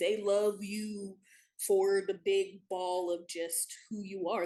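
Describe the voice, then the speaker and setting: This woman's voice has a dark, mellow tone. Her pitch sits in the medium range. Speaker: talk show guest. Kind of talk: casual chat. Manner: loud; animated.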